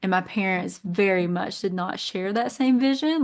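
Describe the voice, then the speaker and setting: Speaking at a fairly quick pace in a Kentucky accent, a woman uses a medium pitch with ordinary pitch variation. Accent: Southern US, Kentucky. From Eastern Kentucky. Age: 30s. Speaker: nurse and business owner. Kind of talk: podcast interview.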